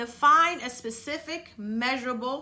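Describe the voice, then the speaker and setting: A woman with a Dominican accent speaks at a high pitch and a fairly slow pace. Her bright, sharp tone shows ordinary pitch variation. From Dominican Republic. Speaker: podcast host. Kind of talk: motivational talk. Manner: casual, conversational.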